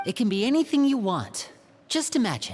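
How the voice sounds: A man puts on a character voice with very wide pitch swings at a fairly quick pace. His pitch is high, and the tone is slightly mellow with a slightly husky edge.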